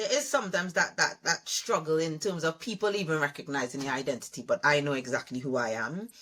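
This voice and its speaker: A woman with a Trinidadian accent speaks at a very fast pace with hardly any pauses, her very deep, low pitch paired with a bright, sharp tone and lively intonation. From Trinidad (Malabar, Arima, east). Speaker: education leadership consultant. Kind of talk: interview conversation.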